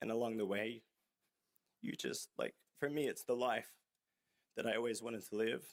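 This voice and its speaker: Vocal fry with ordinary pitch variation. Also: man, dry, close sound with no echo. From Australia. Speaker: motocross racer, hall of fame inductee. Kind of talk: acceptance speech. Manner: halting, many fillers.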